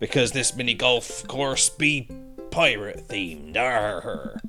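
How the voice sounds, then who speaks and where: With clear music in the background, a man uses a put-on character voice at medium pitch and a fairly slow pace. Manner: playful, mock-pirate.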